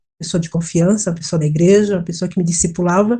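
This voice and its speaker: Woman's somewhat breathy voice, its pitch varying in an ordinary way. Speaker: scam victim. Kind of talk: testimony. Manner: halting, with repetitions.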